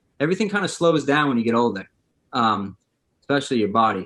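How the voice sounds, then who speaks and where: The man's voice has a bright, sharp tone. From Maine, Gorham area. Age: 30s. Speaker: former college basketball player. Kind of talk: casual podcast interview. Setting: podcast recording. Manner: casual, filler-heavy.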